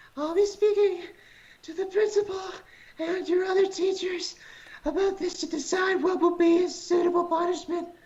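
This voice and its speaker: The put-on character voice is breathy and extremely high in pitch. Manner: stern, disapproving.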